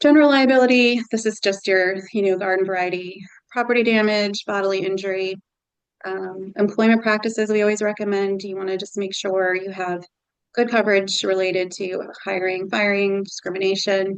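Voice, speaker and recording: With a normal speaking voice at medium pitch, a woman talks at a fairly quick pace and with fairly even intonation. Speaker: nonprofit consultant. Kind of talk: presentation.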